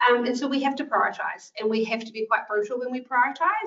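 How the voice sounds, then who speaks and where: A woman talks in a New Zealand accent. Her fairly high voice moves at a fairly quick pace. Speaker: clinical nurse manager. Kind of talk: presentation to health professionals. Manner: fast; casual, filler-heavy.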